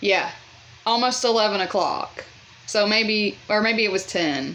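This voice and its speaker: A woman is speaking. There's noticeable background noise. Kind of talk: casual story time talk to camera. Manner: chatty.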